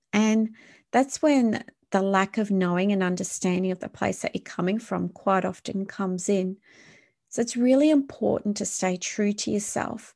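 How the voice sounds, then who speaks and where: A woman with an ordinary speaking voice talks at a moderate pace and medium pitch, her pitch varying in the usual way over a quiet background. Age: 40s. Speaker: wellness podcast host. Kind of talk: solo podcast monologue.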